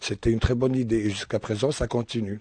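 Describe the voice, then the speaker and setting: A man speaks at a medium pitch with fairly even intonation and a dark, mellow tone. The sound is dry and close with no echo, over a quiet background. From Algeria. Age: 50s. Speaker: charity shop worker. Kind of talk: radio interview with children. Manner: halting.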